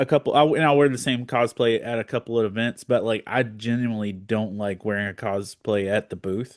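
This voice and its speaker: With a normal speaking voice, a man of medium pitch speaks at a fairly quick pace with fairly even intonation, in a dry, close sound with no echo over a quiet background. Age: 40s. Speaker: podcast host. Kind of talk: casual chat.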